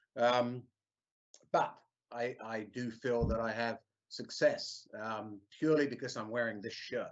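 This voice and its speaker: A man at medium pitch with a slight English accent, fairly slow and fairly even, broken by long, frequent pauses. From England, London. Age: 50s. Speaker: service manager. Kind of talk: career talk.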